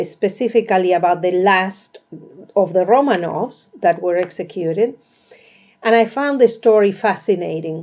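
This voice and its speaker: This woman has a Spanish accent. Her medium pitch shows ordinary variation. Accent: Spanish accent, often mistaken for Russian. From Argentina. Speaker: author. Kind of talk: casual book presentation. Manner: halting, with fillers.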